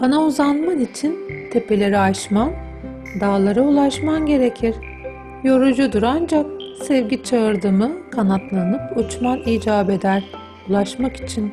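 A woman speaks at a fairly high pitch and fairly slow pace, her pitch swinging very widely while her loudness stays very even. Music plays in the background. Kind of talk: literary reading, audiobook-style narration of a book excerpt.

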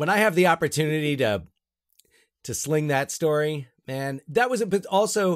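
Speaking at a fairly quick pace, a man with a fairly high pitch comes through on a very clean recording with a silent background. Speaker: podcast host and high school teacher. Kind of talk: casual comedic chat.

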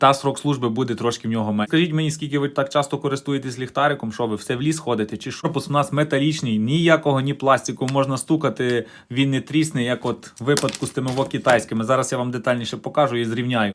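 At a very fast pace, a man with a medium-pitched voice talks in an animated tone. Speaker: DIY tech video blogger. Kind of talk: DIY tutorial.

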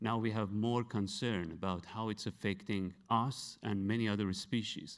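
Here a man speaks with a Persian accent at a medium pitch and fairly slow pace. The background is quiet. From Iran, Tehran. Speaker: science photojournalist; presenter. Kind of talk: award acceptance speech. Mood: earnest, reflective. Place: hall. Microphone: handheld.

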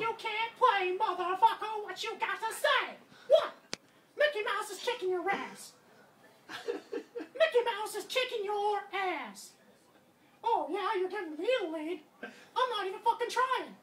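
A man's put-on character voice at an extremely high pitch, fairly slow, with long, frequent pauses. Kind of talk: trash talk while playing a video game. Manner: taunting, boastful, crude.

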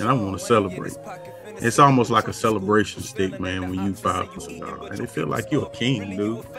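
Over clear background music, a man speaks fairly low-pitched at a fairly quick pace. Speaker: remote podcast guest, cigar seller. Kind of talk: interview answer. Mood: relaxed, smiling, enthusiastic. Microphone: video call.

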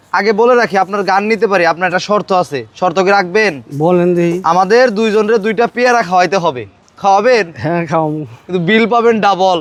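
The voice has ordinary pitch variation, heard over noticeable background noise. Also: man, high pitch for a man. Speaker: street video blogger. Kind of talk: casual street interview.

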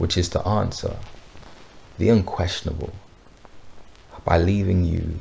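A man's very deep, low voice at a fairly slow pace, with noticeable background noise. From United Kingdom. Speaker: poet, spoken word artist. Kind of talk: spoken word poetry for a brand film.

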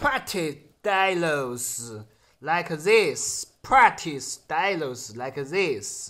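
A man speaks with a Sichuan accent at a very slow pace. The background is quiet. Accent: Sichuan Mandarin-accented English. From Chengdu, Sichuan, China. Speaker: security guard and YouTuber. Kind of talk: casual video blog. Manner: halting, simple English with pauses. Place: home room. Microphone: phone near.

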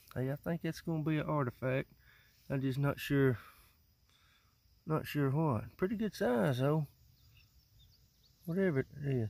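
A man at a moderate pace with long, frequent pauses, in a dry sound with no echo. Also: ordinary pitch variation. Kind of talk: casual vlog chat. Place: farm machine. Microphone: phone near.

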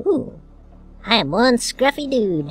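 A put-on character voice, female-sounding, at a fairly slow pace over faint background music. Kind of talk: gaming commentary. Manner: zany, comedic.

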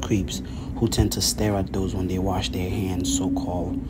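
Loud background noise fills the clip. The speech moves at a moderate pace. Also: man. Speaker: fitness vlogger. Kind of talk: tutorial. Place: bathroom. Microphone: phone near.

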